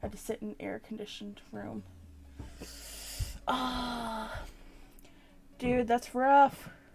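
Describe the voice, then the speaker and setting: A woman at a very slow pace, with long, frequent pauses and big swings in loudness, over noticeable background noise. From Newfoundland, Canada. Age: 20s. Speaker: streamer. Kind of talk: casual chat. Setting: live stream. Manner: casual, chatty.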